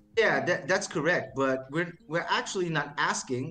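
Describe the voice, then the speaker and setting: With noticeable background noise behind him, a man talks at a moderate pace in a fairly high pitch. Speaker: crypto project team member. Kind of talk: interview on live stream. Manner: halting, many repeated words.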